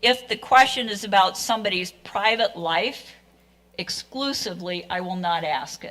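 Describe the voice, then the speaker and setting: The voice has vocal fry, a moderate pace, and ordinary pitch variation. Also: woman. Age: 70s. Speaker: forum moderator, retired professor. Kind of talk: moderating a public candidate forum. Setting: public forum with live audience. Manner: casual, conversational with fillers.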